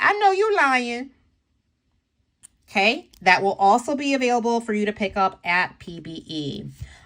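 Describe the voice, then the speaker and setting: Bright and sharp in tone, a woman's fairly high voice takes very wide pitch swings in an animated way. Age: 50s. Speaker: nail polish reviewer. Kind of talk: product showcase video.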